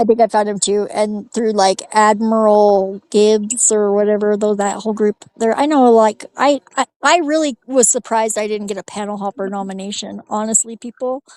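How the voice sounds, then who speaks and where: In an ordinary speaking voice, a woman talks at a moderate pace with fairly even intonation, fairly high pitch and hardly any pauses, the sound dry and close with no echo. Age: 40s. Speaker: livestream panelist. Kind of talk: casual chat.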